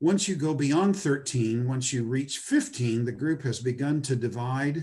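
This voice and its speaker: A man talks at a fairly slow pace with ordinary pitch variation. His voice is somewhat breathy. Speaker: Bible lecturer. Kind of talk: lecture. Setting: video call. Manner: halting. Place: home room. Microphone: webcam.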